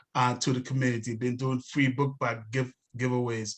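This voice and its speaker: A man with a non-native accent at a moderate pace. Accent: noticeable foreign. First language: not English. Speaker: city council candidate. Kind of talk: candidate forum speech. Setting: online webinar. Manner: hesitant, many fillers.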